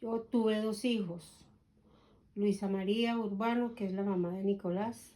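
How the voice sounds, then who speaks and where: Fairly even in intonation, an unremarkable speaking voice moves along at a fairly slow pace. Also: woman. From Colombia. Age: 60s. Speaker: grandmother interviewed about her life. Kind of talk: oral history interview.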